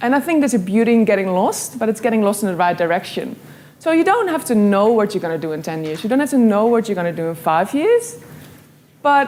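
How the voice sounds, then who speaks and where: A woman's fairly high voice with a Dutch accent, fairly quick, making very wide pitch swings over noticeable background noise. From Netherlands, Amsterdam. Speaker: graphic illustrator and speaker. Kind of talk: motivational talk.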